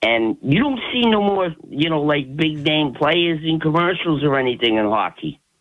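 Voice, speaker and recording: A man with an unremarkable speaking voice, fairly high pitch, lively intonation, very even loudness and a moderate pace. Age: 60s. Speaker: caller. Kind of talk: radio call-in.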